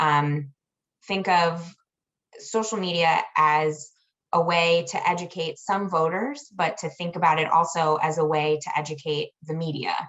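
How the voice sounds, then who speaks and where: Speaking at a fairly slow pace, a woman with an ordinary speaking voice keeps a fairly low pitch and fairly even intonation. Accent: American. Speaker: election association director. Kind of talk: webinar panel talk.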